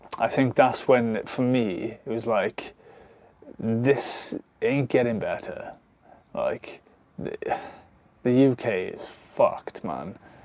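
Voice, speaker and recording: With a Welsh accent, a man speaks at a very slow pace, with long, frequent pauses and big swings in loudness. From South Wales, near Bridgend. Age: 30s. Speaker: vanlife vlogger. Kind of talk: casual vlog monologue. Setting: alone talking to camera. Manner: halting, many fillers; animated.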